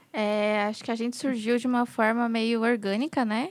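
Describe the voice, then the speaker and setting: A woman with a fairly high pitch speaks at a moderate pace with fairly even intonation, in a plain, everyday voice. The recording is very clean, with a silent background. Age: 20s. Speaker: midwife. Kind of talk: casual chat.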